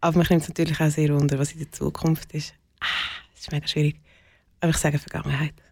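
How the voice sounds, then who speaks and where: Speaking very fast yet with long, frequent pauses, a woman uses a very deep, low voice with vocal fry. Her intonation stays flat and monotone. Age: 40s. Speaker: community co-founder. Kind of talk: interview.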